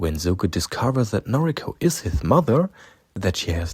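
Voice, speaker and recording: A man with a German accent, dark, mellow and somewhat breathy, with very wide pitch swings at a moderate pace, on a very clean recording with a silent background. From Germany. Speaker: fan video narrator. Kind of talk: scripted narration.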